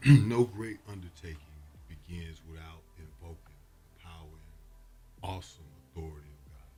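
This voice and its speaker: Ordinary variation in pitch, plus a somewhat breathy quality. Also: man, moderate pace. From Atlanta. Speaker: prosecutor. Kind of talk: interview answer.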